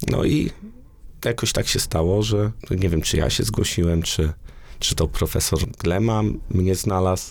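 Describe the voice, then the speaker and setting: A man speaks at a fairly slow pace in a very deep, low voice. His intonation is lively and his loudness stays very even. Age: 30s. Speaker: engineer and university researcher. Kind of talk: interview. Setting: studio.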